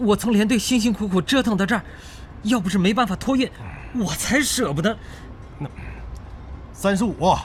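A man's high-pitched voice at a moderate pace, broken by long, frequent pauses. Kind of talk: literary audiobook reading. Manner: vivid, emotional, measured pacing.

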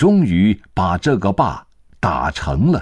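A man speaks in a solemn, dramatic tone at a fairly low pitch, with very wide pitch swings. The recording is very clean, with a silent background. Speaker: narrator. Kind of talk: history documentary narration. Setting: studio. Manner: measured, solemn, steady pace; formal, dramatic storytelling tone.

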